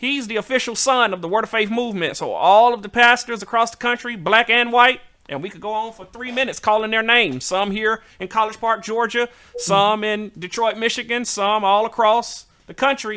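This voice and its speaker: A man with a Southern US accent speaks in a raised, projected voice at a high pitch. His loudness swings widely. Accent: southern drawl. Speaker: talk show host. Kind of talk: casual chat. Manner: animated.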